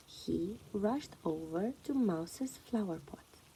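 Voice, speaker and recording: A woman speaks softly. Her tone is calm. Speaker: children's story reader. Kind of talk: reading aloud. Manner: soft-spoken.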